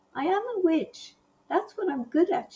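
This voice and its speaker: Using a put-on character voice, a woman speaks at a moderate pace with a gentle tone and an extremely high pitch. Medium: read story. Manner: kind, gentle.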